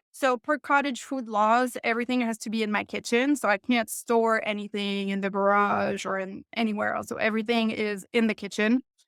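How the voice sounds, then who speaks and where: A woman with a French Canadian accent talks at a fairly quick pace and fairly high pitch, with fairly even intonation and hardly any pauses. The recording is very clean with a silent background, its sound dry and close with no echo. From Quebec. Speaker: home baker and business owner. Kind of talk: podcast interview.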